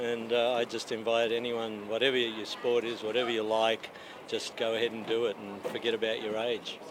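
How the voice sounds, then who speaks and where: Through noticeable background noise, a man speaks at a fairly quick pace in a medium pitch with monotone, flat intonation. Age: 60s. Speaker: masters speed skater. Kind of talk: casual interview.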